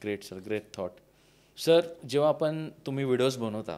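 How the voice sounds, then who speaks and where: On a very clean recording with a silent background, a man uses a normal speaking voice with ordinary pitch variation. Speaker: podcast host. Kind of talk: interview question.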